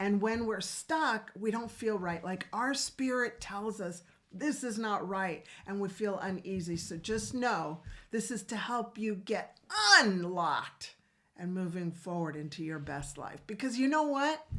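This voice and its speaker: Lively intonation over noticeable background noise. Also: woman, medium pitch for a woman, fairly slow pace. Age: 60s. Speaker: integrative physician and co-host. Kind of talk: casual chat.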